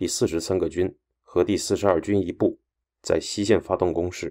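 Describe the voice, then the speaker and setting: In a very clean recording with a silent background, a man delivers his words at a moderate pace in a serious, dramatic tone. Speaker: radio host and history narrator. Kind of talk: history documentary narration, scripted and read aloud. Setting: studio. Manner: formal, steady and measured, grave broadcast delivery that builds tension; even, newsreader-like pace, serious tone, briefly dramatic at battle turning points.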